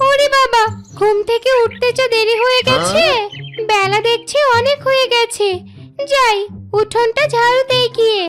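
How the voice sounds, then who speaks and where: Clear music plays behind a woman doing a cartoonish character voice at an extremely high pitch and a moderate pace. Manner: affectionate, gently nagging.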